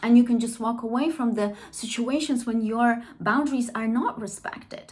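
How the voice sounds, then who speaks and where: Over noticeable background noise, a woman with a Polish accent talks at a moderate pace in a fairly high pitch and with fairly even intonation. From Poland. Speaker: trauma therapist and language teacher. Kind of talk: educational monologue. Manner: conversational, with frequent fillers and self-corrections.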